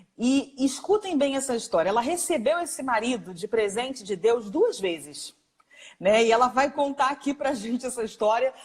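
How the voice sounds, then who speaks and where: Moderate pace and lively intonation. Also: woman, high pitch for a woman. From Rio de Janeiro, Brazil. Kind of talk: live interview introduction.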